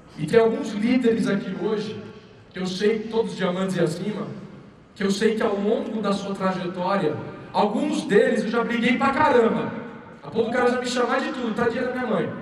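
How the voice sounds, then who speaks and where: Speaking at a moderate pace, a man with a high pitch and ordinary pitch variation is heard with audible room echo and noticeable background noise. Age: 30s. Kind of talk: motivational talk. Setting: stage with audience.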